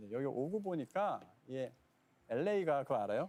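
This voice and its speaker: A man speaks at a very fast pace with ordinary pitch variation. His tone is dark and mellow. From South Korea. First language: Korean. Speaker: game director. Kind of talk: interview.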